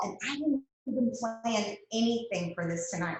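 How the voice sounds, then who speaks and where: In a Texas accent, a woman talks with an animated tone, lively intonation and fairly high pitch, with audible room echo around her. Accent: Southern US (Texas). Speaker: guest speaker, direct sales leader. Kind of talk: motivational talk on a video call. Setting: video call.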